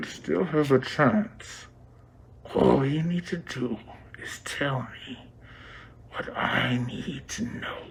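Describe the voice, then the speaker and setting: Whispering in a put-on character voice, a man speaks at a very slow pace with long, frequent pauses over clear background noise. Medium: short film. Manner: cold, controlled.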